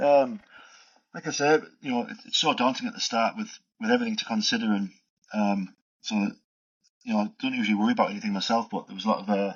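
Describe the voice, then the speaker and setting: A man with a strong northeast English accent, fairly high-pitched for a man, talking very fast with very wide pitch swings and long, frequent pauses. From northeast England, Middlesbrough. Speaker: migrant, skills assessor. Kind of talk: casual interview chat.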